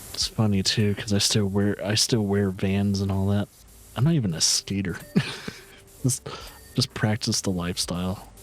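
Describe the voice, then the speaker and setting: At a moderate pace, a man with an American accent and a fairly low pitch talks with fairly even intonation and long, frequent pauses. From US, military family (army brat). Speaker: gaming streamer. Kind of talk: casual gameplay commentary. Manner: casual, laid-back with filler words.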